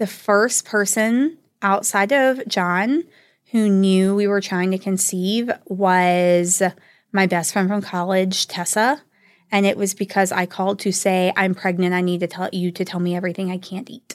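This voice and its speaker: On a very clean recording with a silent background, a woman with an unremarkable speaking voice talks at a fairly slow pace and medium pitch with fairly even intonation. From US South, northwest Georgia. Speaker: podcast host, academic researcher. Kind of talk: personal storytelling.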